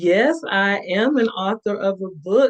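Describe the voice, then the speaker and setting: This woman has a Southern US accent. She talks at a fairly slow pace. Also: dry, close sound with no echo. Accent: Southern drawl. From US South, Panama City, Florida. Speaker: author and motivational speaker. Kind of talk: interview.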